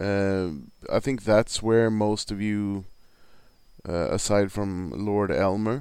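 A man with a Swedish accent speaks very slowly at a fairly low pitch with fairly even intonation. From Sweden. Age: 40s. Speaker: hockey podcaster. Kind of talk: casual monologue.

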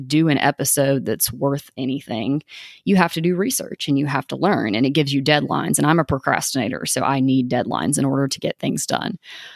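In a Tennessee accent, a woman talks at a very deep, low pitch with vocal fry, and the sound is dry and close with no echo. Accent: Southern US (Tennessee). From East Tennessee, US South. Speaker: podcast host. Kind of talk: casual monologue. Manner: casual, filler-heavy (um, like).

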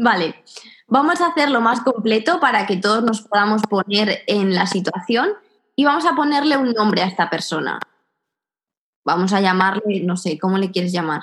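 In a normal speaking voice, a woman talks at a moderate pace with lively intonation and a fairly high pitch. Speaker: podcast host. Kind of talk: casual chat.

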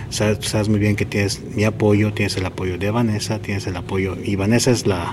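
The speech runs at a fairly quick pace, with noticeable background noise behind it. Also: man. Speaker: running podcast host. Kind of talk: interview. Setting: athletes' hotel, doors and people passing.

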